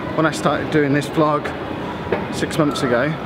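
Loud background noise surrounds a man who talks at a moderate pace. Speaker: vlogger auditioning as football matchday announcer. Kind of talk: casual talk to camera vlog. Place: station. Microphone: phone near.

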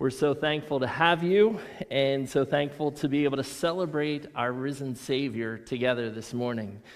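A man talks at a moderate pace. Behind him the background is quiet. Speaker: pastor. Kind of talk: church welcome and announcements. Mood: cheerful, welcoming. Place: church.

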